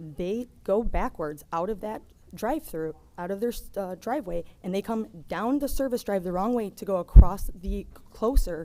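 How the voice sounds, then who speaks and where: With a dark, mellow tone and lively intonation, a woman speaks at a moderate pace. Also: medium pitch for a woman, big swings in loudness. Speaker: resident speaking at public meeting. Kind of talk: public comment. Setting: public meeting with microphone. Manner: soft-spoken.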